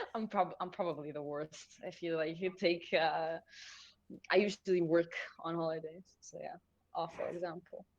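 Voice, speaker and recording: Someone speaks in an Israeli accent, with big swings in loudness. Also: woman, fairly low pitch for a woman, moderate pace. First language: Hebrew. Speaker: esports caster. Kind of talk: live commentary; casual chat. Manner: animated.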